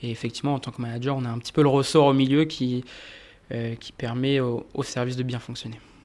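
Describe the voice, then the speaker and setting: A man talks at a fairly quick pace and medium pitch, with monotone, flat intonation. His loudness swings widely in a very clean recording with a silent background. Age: 30s. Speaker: audit manager at an accounting firm. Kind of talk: interview. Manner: hesitant, many fillers.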